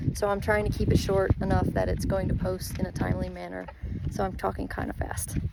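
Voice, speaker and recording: Noticeable noise runs in the background. The speaker talks at a fairly quick pace with an American accent. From Texas. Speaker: horse sanctuary operator. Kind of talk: informal video walkthrough. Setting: outdoors. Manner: fast.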